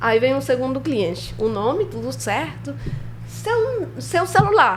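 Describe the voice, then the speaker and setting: A woman with a Spanish accent at a very slow pace, amid audible room echo and noticeable background noise. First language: Spanish (speaking Portuguese). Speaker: filmmaker. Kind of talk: interview storytelling.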